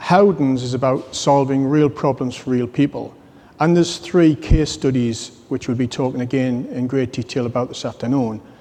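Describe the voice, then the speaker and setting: A man with a British accent, medium pitch, moderate pace, and fairly even intonation. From UK. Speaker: business executive. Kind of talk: conference talk.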